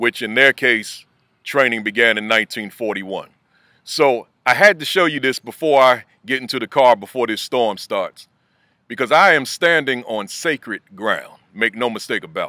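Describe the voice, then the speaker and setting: Over a very clean recording with a silent background, a man speaks at a medium pitch with ordinary pitch variation and a bright, sharp tone. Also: dry, close sound with no echo. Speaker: school principal. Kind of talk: motivational video message. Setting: outdoors. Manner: fast.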